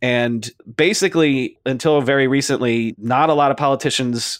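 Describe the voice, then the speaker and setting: A man with an unremarkable speaking voice, fairly high in pitch, with lively intonation at a moderate pace, on a very clean recording with a silent background. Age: 40s. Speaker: author and tech podcast host. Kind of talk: interview. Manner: casual with many fillers.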